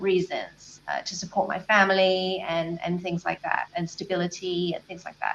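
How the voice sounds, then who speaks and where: A woman with a southern English accent at a moderate pace. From southern England, Brighton. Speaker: life and business coach. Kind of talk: interview.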